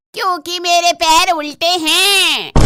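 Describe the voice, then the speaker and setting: A cartoonish character voice, female-sounding and extremely high in pitch. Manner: blunt, odd, deadpan.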